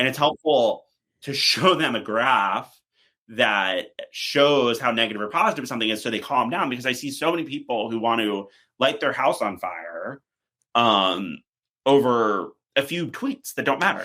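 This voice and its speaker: A man speaks at a medium pitch with lively intonation. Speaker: PR strategist. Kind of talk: podcast interview. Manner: fast.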